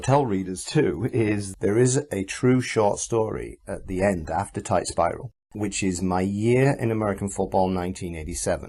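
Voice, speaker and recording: In a very clean recording with a silent background, a man with a Yorkshire accent speaks at a moderate pace, his fairly low pitch showing ordinary variation. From Yorkshire, northern England. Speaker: author. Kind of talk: interview.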